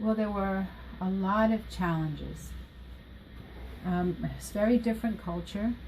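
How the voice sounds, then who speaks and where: A woman speaks with an American accent, leaving long, frequent pauses. There is noticeable background noise. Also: fairly slow pace. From Costa Rica until age 5, then Washington DC area. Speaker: school counselor. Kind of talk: interview.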